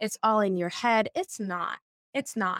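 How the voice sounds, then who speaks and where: A woman with an American accent at a fairly slow pace, ordinary pitch variation, dry and close with no echo. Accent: general American with New England traits. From US Northeast. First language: Portuguese. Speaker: social scientist and former therapist. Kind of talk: interview conversation. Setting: video call. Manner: animated.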